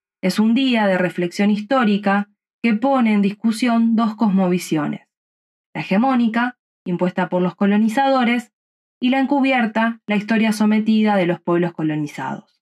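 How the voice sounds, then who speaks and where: A woman's fairly high, somewhat breathy voice in a Rioplatense accent, at a moderate pace with ordinary pitch variation and very even loudness, in a dry, close sound with no echo. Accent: Argentine Rioplatense Spanish. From Rosario, Argentina. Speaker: podcast commentator. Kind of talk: scripted narration.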